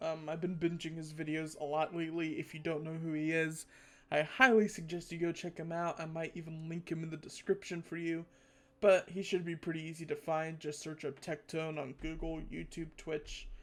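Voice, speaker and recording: Speech comes at a moderate pace in a very clean recording with a silent background. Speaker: gaming youtuber. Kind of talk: casual gameplay commentary. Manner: rambling, casual.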